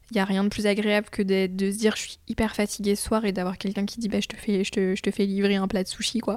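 Talking at a very fast pace with hardly any pauses, a woman keeps a medium pitch and a monotone, flat intonation. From France, Chartres. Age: 20s. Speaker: home renovator. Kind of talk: casual chat. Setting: at home.

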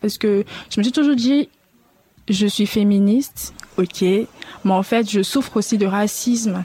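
A woman with a fairly high pitch, a dark, mellow tone and a somewhat breathy sound speaks at a fairly slow pace with fairly even intonation. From Ivory Coast. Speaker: podcast guest, Ivorian woman. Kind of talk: public panel discussion. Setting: live event with audience.

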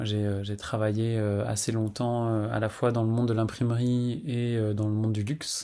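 With a dark, mellow tone at medium pitch, a man speaks in a flat monotone at a fairly slow pace and at a very even loudness. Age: 40s. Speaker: testimony contributor, abuse survivor. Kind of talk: testimony. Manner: halting, with many fillers and repetitions.

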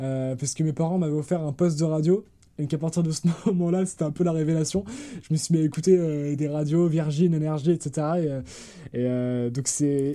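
Intonation stays fairly even in an unremarkable speaking voice that keeps a moderate pace. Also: man, fairly high pitch for a man. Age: 20s. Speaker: podcast host. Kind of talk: casual chat. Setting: remote recording.

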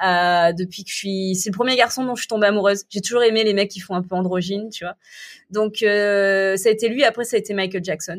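A woman with a normal speaking voice talks at a fairly quick pace and medium pitch, her intonation fairly even, on a very clean recording with a silent background. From southern France. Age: 30s. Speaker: entrepreneur and cancer survivor. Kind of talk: casual interview.

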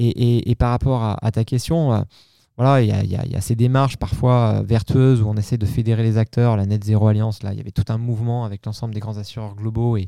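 Very fast and with fairly even intonation, a man speaks at medium pitch in a dark, mellow tone, recorded very cleanly with a silent background and a dry, close sound with no echo. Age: 40s. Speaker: marketing executive. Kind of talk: interview. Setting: on location at a company venue. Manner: hesitant, many repeated words.

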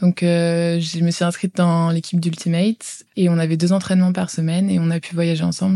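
On a very clean recording with a silent background, a woman with a fairly low pitch and a dark, mellow tone speaks at a fairly quick pace with monotone, flat intonation. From France, Val d'Oise. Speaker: former exchange student. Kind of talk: interview testimony. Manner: hesitant with fillers.

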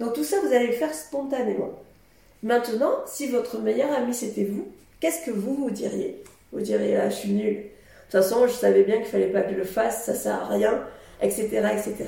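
A woman talks at a moderate tempo, her voice carrying audible room echo. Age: 50s. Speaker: podcast host. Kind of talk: solo monologue. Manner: casual, hesitant with fillers.

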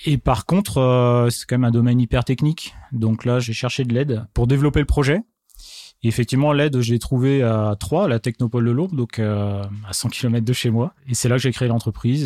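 A man speaks at a moderate pace with a medium pitch and a dark, mellow tone, his loudness very even, the sound dry and close with no echo on a very clean recording with a silent background. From Marne, Champagne-Ardenne, France. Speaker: drone company founder. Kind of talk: interview. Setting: apartment recording.

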